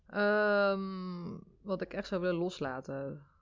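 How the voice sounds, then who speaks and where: The voice is a normal speaking voice. Pitch varies by an ordinary amount. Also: woman. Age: 30s. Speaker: mother and social media personality. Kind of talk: casual interview. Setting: in person in Rotterdam.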